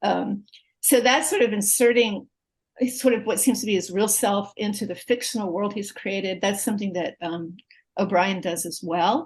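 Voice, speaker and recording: A woman's somewhat breathy voice sits at medium pitch with ordinary pitch variation and a moderate pace. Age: 60s. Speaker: literature professor. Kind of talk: interview conversation.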